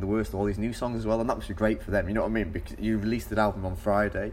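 Audible room echo surrounds a man speaking at a very fast pace with a Mancunian accent. His pitch is fairly low. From Manchester, England. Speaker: podcast host. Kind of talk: casual chat.

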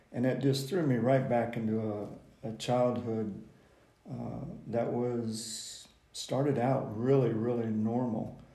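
With an American accent, a man at a medium pitch speaks amid audible room echo. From Decatur, Illinois, US Midwest. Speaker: guest sharing recovery testimony. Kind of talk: personal testimony.

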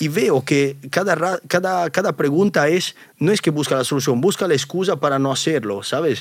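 A man with a fairly high voice talks at a moderate pace with hardly any pauses. His loudness is very even, and his pitch varies in an ordinary way. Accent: Italian. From Italy. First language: Italian (speaking Spanish). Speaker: YouTuber. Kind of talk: interview.

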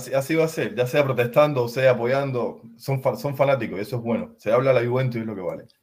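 Somewhat breathy man, medium pitch, fairly quick pace, ordinary pitch variation and hardly any pauses. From Cuba. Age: 30s. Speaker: football fan. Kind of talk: casual chat.

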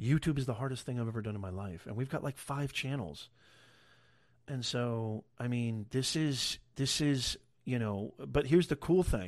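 Against a quiet background, a man with a medium-pitched voice talks at a moderate pace with lively intonation. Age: 40s. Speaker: podcast host reacting to video. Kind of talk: live stream reaction show. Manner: animated.

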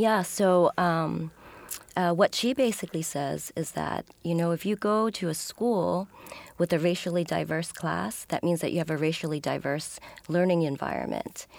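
With an American accent, a woman uses a plain, everyday voice at a fairly low pitch, with ordinary pitch variation and a moderate pace. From New York City, Upper West Side. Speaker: sociology professor. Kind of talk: interview.

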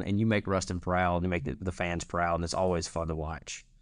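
A man speaks fairly quickly in a very deep voice with a Louisiana accent. The background is quiet. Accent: Louisiana Southern. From North Central Louisiana. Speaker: student podcast host. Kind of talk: casual interview.

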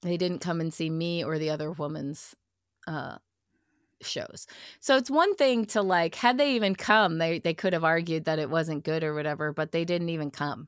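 At a fairly low pitch and moderate pace, a woman with a plain, everyday voice talks with ordinary pitch variation. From Massachusetts (Chelmsford, north of Boston). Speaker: improv performer and theater director. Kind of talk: casual interview.

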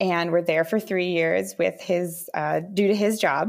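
A woman with an American accent speaks in an ordinary speaking voice at a fairly slow pace and a medium pitch. Her pitch variation is ordinary, and the recording is very clean with a silent background. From Minnesota. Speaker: mother and former engineer. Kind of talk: casual interview.

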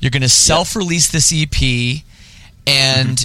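At a moderate pace, a man speaks with a fairly high pitch, ordinary pitch variation and a bright, sharp tone. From Toronto area, Canada. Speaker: podcast host. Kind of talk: casual interview; read-out ad.

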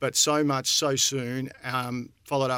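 Speaking with an Australian accent, a man has a medium pitch. His tone is bright and sharp. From Australia, country Victoria. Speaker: real estate company director. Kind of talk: casual chat. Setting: studio.

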